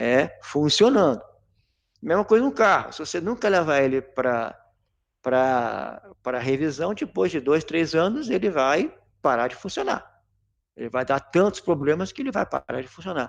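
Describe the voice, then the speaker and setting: A man's fairly high voice with very wide pitch swings at a fairly slow pace, over a quiet background. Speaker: corrosion and maintenance engineer. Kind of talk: technical lecture in a live webinar. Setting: online live stream. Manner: clear, well spaced delivery; frequent stumbles and swallowed word endings.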